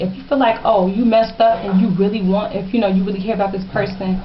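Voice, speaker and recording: A woman speaks very quickly, and noticeable noise can be heard behind her. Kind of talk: casual advice talk to camera.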